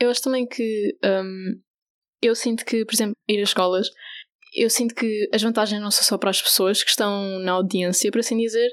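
Using a normal speaking voice, a woman with fairly high pitch speaks at a moderate pace with very even loudness and fairly even intonation, captured on a very clean recording with a silent background. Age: 20s. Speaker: LGBTI youth association volunteer educator. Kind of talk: radio interview.

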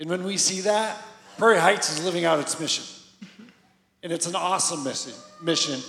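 Loud and fairly quick, a man speaks at a high pitch with ordinary pitch variation and long, frequent pauses. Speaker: church leader. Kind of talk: church service announcements. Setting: stage with audience.

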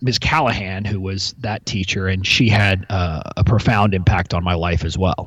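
This man speaks with an American accent at a fairly low pitch. Noticeable background noise runs behind him. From US South, Texas (McAllen, near Mexican border). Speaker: intellectual property lawyer and entrepreneur. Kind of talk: interview conversation. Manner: hesitant with fillers and repetitions.

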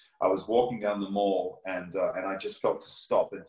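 A man with an Australian accent speaks over noticeable background noise. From Australia, near Melbourne. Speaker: evangelist and minister. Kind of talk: testimony.

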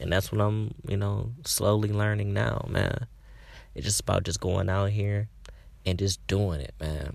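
The speaker is a man with a fairly low pitch and a somewhat breathy voice. The recording is very clean, with a silent background. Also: ordinary pitch variation, fairly slow pace. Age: 20s. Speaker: podcast host. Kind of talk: casual monologue. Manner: animated, filler-heavy.

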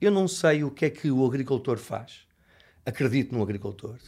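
Lively intonation from a fairly high-pitched man, in a very clean recording with a silent background. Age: 50s. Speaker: bread chef and baker. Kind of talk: interview. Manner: emphatic.

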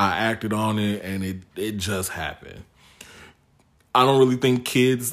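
A normal speaking voice from a man with an American accent, fairly low in pitch, with ordinary pitch variation at a moderate pace. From Chicago south suburbs. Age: 30s. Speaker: podcast guest. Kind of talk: casual chat.

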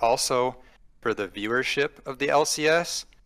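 With an American accent, this speaker's voice has a bright, sharp tone. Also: man. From Minnesota. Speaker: caller. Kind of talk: call-in opinion.

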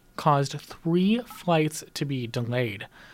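The speaker has a plain, everyday voice. The pace is fairly slow. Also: man. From Chicago. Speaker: student panelist, headlines. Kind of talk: news headlines on student panel show. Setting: studio.

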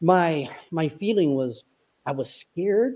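A man's dark, mellow voice, fairly high in pitch, with lively intonation. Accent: American. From US South, upstate South Carolina. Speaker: retired army officer and author. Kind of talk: interview.

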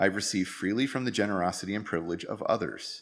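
Lively intonation marks this man's ordinary speaking voice, which sits at a fairly low pitch with an American accent. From United States. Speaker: lay worship leader. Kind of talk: sermon.

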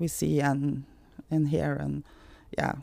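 A woman with a Norwegian accent, a dark, mellow tone and ordinary pitch variation, recorded very cleanly against a silent background. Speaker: founder of gambling addiction support charity. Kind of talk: interview. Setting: recording on location in Tromsø. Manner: halting.

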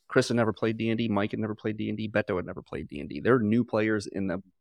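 The speaker talks at a very fast pace with vocal fry and ordinary pitch variation, in a dry, close sound with no echo and a quiet background. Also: man. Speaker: podcast host and game master. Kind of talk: casual chat. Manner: rambling, talkative.

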